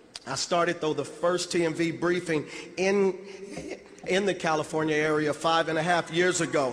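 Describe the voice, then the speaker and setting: Over noticeable background noise, a man with a high-pitched voice talks at a moderate pace in a monotone, flat delivery. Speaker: motivational speaker. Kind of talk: motivational speech.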